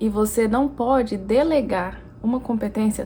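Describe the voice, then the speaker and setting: A woman with a fairly high pitch speaks somewhat breathily, her intonation fairly even. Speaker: language teacher. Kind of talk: educational talk to camera.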